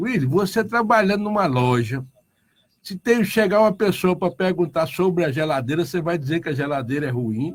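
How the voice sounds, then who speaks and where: A man talks with lively intonation. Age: 60s. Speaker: union leader. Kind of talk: radio interview.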